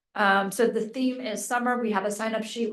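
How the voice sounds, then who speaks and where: This woman has an unremarkable speaking voice, fairly high in pitch, with an American accent. Her pace is moderate and her pitch variation ordinary. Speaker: mayor. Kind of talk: council meeting report.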